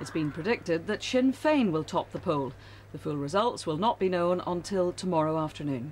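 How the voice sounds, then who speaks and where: In a very clean recording with a silent background, a woman with a Northern Irish accent talks at a fairly low pitch with lively intonation. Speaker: television news presenter. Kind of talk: TV news reading. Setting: TV studio. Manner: crisp, measured and formal newsreader delivery.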